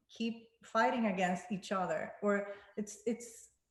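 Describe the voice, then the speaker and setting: This speaker is a woman. She talks with a Spanish accent. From Panama. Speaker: singer-songwriter. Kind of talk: panel discussion. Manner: halting.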